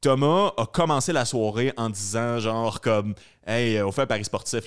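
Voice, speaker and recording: A man speaks with a Quebec accent at medium pitch. The recording is very clean, with a silent background. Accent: Québécois French. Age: 30s. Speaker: podcast host, comedian. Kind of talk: casual interview chat.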